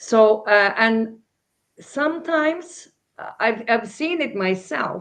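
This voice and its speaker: A woman with a non-native accent speaks at a very slow pace. Her fairly high voice has lively intonation. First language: not English. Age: 60s. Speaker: crypto panelist. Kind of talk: panel discussion. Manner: halting, many fillers and repetitions.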